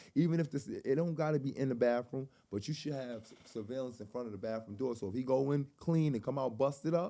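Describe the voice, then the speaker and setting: A man's very fast, nearly pause-free delivery in a New York accent, with a dark, mellow tone, medium pitch, ordinary pitch variation and big swings in loudness. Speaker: podcast host. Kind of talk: casual interview.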